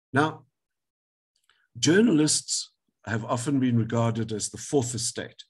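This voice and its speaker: Speaking fairly slowly with long, frequent pauses, a man uses a somewhat breathy, medium-pitched voice with ordinary pitch variation and big swings in loudness. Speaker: advocate, legal speaker. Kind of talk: webinar lecture.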